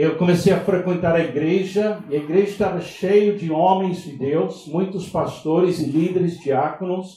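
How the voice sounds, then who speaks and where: The speech runs at a moderate pace with hardly any pauses. Its intonation is fairly even. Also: man, high pitch for a man. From US, Miami. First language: English (speaking Portuguese). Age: 70s. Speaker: visiting pastor. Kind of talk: sermon. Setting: church. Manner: halting.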